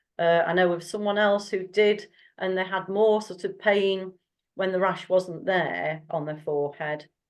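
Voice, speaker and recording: In an ordinary speaking voice, a woman of medium pitch talks at a fairly slow pace with fairly even intonation over a quiet background. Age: 60s. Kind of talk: casual chat.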